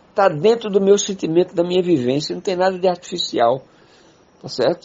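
With ordinary pitch variation, a man talks in a high-pitched voice. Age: 70s. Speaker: poet and political activist. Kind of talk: interview conversation.

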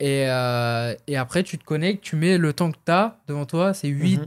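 An ordinary speaking voice with ordinary pitch variation comes through in a dry, close sound with no echo. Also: man. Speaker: MMA fighter. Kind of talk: casual interview.

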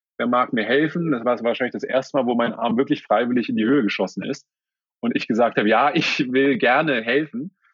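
Here a man speaks at medium pitch and a fairly quick pace. His pitch varies in an ordinary way. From Germany, Berlin. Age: 30s. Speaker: sports lawyer. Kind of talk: interview. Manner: hesitant with fillers.

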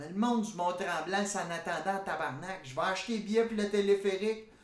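A man speaks with a Quebec accent at a high pitch. There is noticeable background noise. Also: hardly any pauses, big swings in loudness. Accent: Québécois French. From Quebec, Gatineau. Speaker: podcast host. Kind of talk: casual comedic monologue. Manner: animated.

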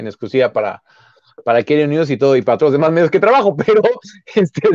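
A man with a fairly high pitch and lively intonation is heard in a dry, close sound with no echo. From Mexico City, Xochimilco. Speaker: football journalist, former player. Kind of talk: casual chat. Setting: live stream.

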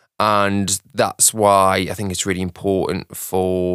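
A man speaks at a fairly slow pace in a very deep, low voice, his intonation flat and monotone, with a dry, close sound free of echo on a very clean recording over a silent background. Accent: British. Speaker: music director. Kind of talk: casual chat.

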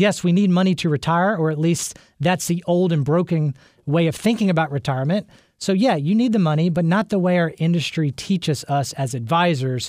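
This man speaks at a fairly quick pace in a high pitch, with ordinary pitch variation and very even loudness. The recording is very clean, the background silent. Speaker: radio host and financial planner. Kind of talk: radio talk show. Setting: studio. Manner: fast.

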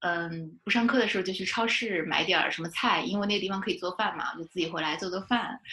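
A normal speaking voice from a woman, fairly low in pitch, with ordinary pitch variation and a moderate pace. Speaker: fiction writer. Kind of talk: casual interview chat.

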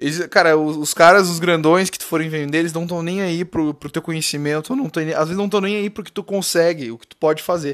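On a very clean recording with a silent background, a man talks at a very fast pace with high pitch and ordinary pitch variation. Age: 20s. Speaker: podcast host, digital entrepreneur. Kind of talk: solo podcast monologue. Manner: casual, filler-heavy.

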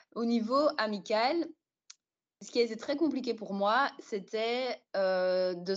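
A woman speaks with a fairly high pitch. Her pitch rises and falls in an ordinary way. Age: 20s. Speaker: podcast guest sharing experience of depression. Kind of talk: personal testimony in casual interview. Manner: hesitant, many fillers.

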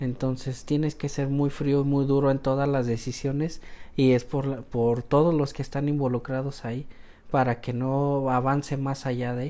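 A man speaks in a fairly high pitch with a dark, mellow tone. His intonation is monotone and flat. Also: moderate pace. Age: 30s. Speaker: civil protection director, paramedic. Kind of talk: interview.

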